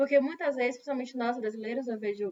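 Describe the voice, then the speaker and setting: A woman with a Brazilian accent speaks at a high pitch. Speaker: English teacher. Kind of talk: lecture. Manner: conversational, repetitive fillers.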